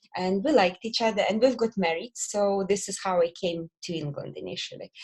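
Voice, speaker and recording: A woman speaks with a Belarusian accent. Her voice is somewhat breathy. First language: Belarusian or Russian. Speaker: lash company director. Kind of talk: podcast interview. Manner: hesitant.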